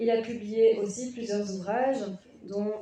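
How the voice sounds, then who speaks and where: A woman speaks in a dark, mellow tone with fairly even intonation. Her moderate pace carries over audible room echo. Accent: Flemish. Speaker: conference moderator. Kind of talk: panel introduction.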